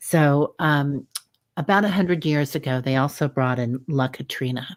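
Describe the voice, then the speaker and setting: A Missouri accent at a moderate pace with ordinary pitch variation. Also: woman, very deep, low pitch for a woman. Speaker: livestream co-host, psychic. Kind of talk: casual livestream talk. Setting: simulcast livestream video. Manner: hesitant, many filler ums.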